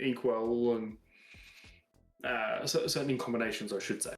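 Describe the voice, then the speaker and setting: A man speaks with an Australian accent. Music plays in the background. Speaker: card game podcast co-host. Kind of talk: casual chat.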